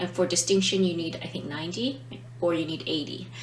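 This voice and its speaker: Lively intonation marks a woman's fairly low-pitched voice. There is audible room echo and noticeable background noise. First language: not Italian. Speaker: language teacher, vlogger. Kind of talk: casual explainer vlog. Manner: hesitant, many fillers.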